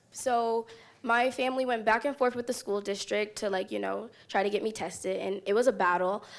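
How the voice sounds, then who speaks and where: Pacing herself moderately, a woman talks in a plain, everyday voice with ordinary pitch variation. The recording is very clean, with a silent background. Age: young. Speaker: student leader. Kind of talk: live panel discussion. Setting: stage with audience.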